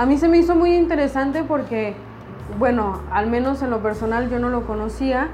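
Over noticeable background noise and audible room echo, a woman speaks at a high pitch with ordinary pitch variation. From Mexico City. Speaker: podcast host, graphic designer. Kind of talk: casual chat.

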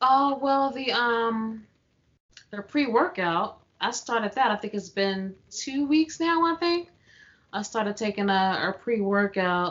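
A woman with an unremarkable speaking voice talks at a fairly slow pace, her fairly high pitch carried by lively intonation. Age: 30s. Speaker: podcast co-host. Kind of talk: casual chat.

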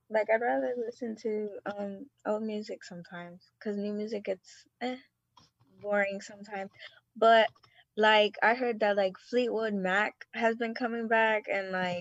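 A normal speaking voice at a moderate pace. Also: woman. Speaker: guest. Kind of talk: casual chat.

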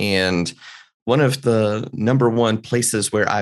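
This man has an ordinary speaking voice, pitched fairly low, and talks at a fairly slow pace. His pitch varies in an ordinary way over a quiet background. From US South, North Carolina mountains. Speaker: mentalist and business consultant. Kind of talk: casual interview.

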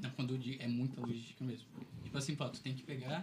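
Noticeable background noise sits behind the recording. A man talks at a very fast pace. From southern Brazil, Criciúma. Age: 20s. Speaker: software developer, volunteer group member. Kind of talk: casual chat.

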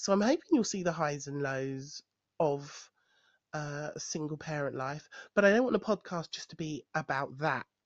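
A woman with a London accent, very deep and low in pitch, ordinary pitch variation, moderate pace, dry, close sound with no echo, and a quiet background. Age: 40s. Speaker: podcaster. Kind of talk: personal monologue. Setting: home recording. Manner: hesitant, many fillers.

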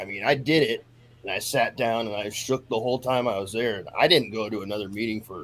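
Talking at a very fast pace, a man keeps to a medium pitch with ordinary pitch variation. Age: 50s. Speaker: person in addiction recovery. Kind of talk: recovery testimony in casual interview.

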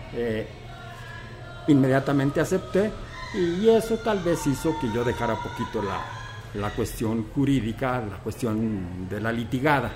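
Over music in the background, a man at medium pitch talks at a fairly slow pace with lively intonation and long, frequent pauses. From Teocaltiche, Jalisco, Mexico. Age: 70s. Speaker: retired teacher and school director. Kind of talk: interview. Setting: restaurant.

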